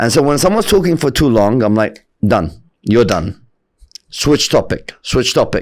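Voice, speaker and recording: At a moderate pace, a man speaks in an animated tone with very wide pitch swings, vocal fry, very even loudness, and long, frequent pauses. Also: medium pitch for a man. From Bahrain. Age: 30s. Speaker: podcaster. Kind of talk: interview.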